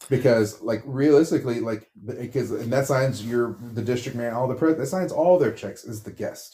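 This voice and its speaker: The man's tone is dark and mellow, somewhat breathy. His pitch varies in an ordinary way at a moderate pace. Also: medium pitch for a man, hardly any pauses. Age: 40s. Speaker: retail worker. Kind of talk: casual chat.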